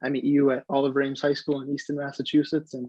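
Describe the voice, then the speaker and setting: With a General American accent, a man talks at a fairly quick pace. His fairly high voice stays monotone and flat. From US Pacific Northwest, Seattle. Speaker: semi-pro soccer player. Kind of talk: interview.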